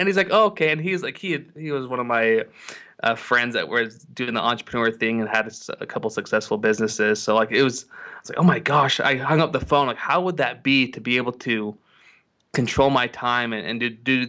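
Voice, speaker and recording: A man speaks at a fairly quick pace with a medium pitch. His tone is bright and sharp, with ordinary pitch variation. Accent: American. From Utah, US. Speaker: video marketing agency owner. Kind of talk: interview. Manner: repetitive false starts.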